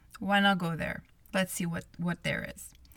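The recording is very clean with a silent background, carrying a woman's bright, sharp tone. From Montreal, Canada. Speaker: podcast host. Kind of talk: solo podcast monologue.

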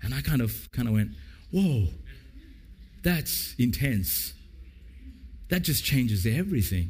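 Audible room echo surrounds a man with an Australian accent whose medium-pitched voice carries vocal fry, very wide pitch swings, and long, frequent pauses. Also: fairly slow pace. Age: 50s. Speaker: pastor. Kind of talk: sermon. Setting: church.

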